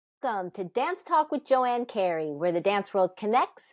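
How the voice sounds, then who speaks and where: "A normal speaking voice" describes this woman, who talks at a medium pitch with lively intonation. The background is quiet and the sound dry and close, with no echo. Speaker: podcast host. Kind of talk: podcast intro.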